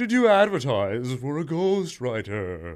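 A man puts on a character voice at a fairly slow pace. His medium pitch swings very widely. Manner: spooky.

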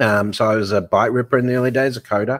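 In an Australian accent, a man talks at a moderate pace with fairly even intonation and medium pitch, on a very clean recording with a silent background. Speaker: fintech author and banking futurist. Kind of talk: interview.

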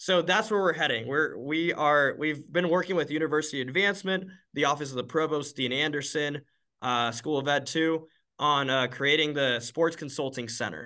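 Over a quiet background, a man with a fairly high pitch and a bright, sharp tone speaks at a moderate pace with ordinary pitch variation. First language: Spanish. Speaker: university student and entrepreneur. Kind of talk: interview.

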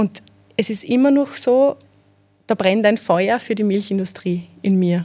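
The voice has a dark, mellow tone and ordinary pitch variation. It moves at a moderate pace with long, frequent pauses. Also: woman. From Austria, Mostviertel (Zeillern, Amstetten district). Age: 20s. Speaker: PR manager. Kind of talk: interview.

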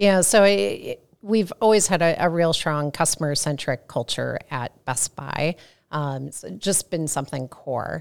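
On a very clean recording with a silent background and a dry, close sound with no echo, a woman with a US Midwestern accent speaks at a fairly slow pace and a very deep, low pitch. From US Midwest, St. Louis. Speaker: customer experience research director. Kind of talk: interview.

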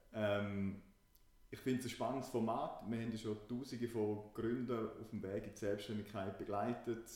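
Audible room echo surrounds a man whose fairly low voice has a dark, mellow tone and monotone, flat intonation at a moderate pace. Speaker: startup consultant and podcast co-host. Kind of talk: casual podcast chat.

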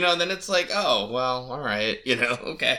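A man talks at a moderate pace, noticeable background noise beneath him. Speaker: podcast co-host. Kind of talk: casual chat, podcast discussion.

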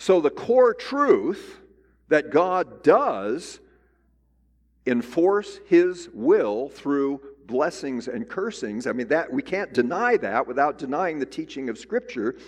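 Loud and very slow, a man speaks in a high pitch with very wide pitch swings. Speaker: Bible teacher. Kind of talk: lecture.

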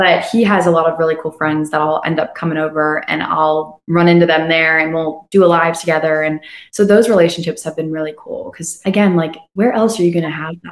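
A woman speaks with an unremarkable speaking voice at a fairly low pitch, fairly quick and with hardly any pauses, her intonation fairly even. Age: young. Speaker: singer-songwriter. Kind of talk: casual interview chat. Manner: fast, run-on.

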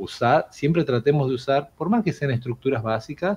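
At a moderate pace, a man speaks with lively intonation and a medium pitch. His voice is somewhat breathy. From Argentina, Jujuy (far north). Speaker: English teacher. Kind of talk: casual interview.

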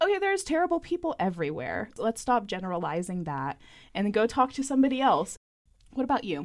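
A woman with vocal fry, a fairly quick pace and very wide pitch swings. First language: Spanish. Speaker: podcast co-host. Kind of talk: interview.

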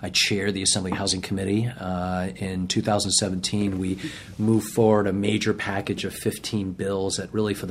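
A man with an American accent has a fairly low pitch. His intonation is monotone and flat at a moderate pace. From Boston, Massachusetts. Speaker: state legislator, former prosecutor. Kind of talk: interview.

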